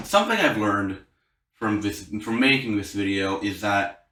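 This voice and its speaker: A man is speaking. Room echo is audible around him. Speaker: YouTuber. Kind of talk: casual vlog talk to camera. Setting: home room recording with key lights. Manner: halting, repeated restarts.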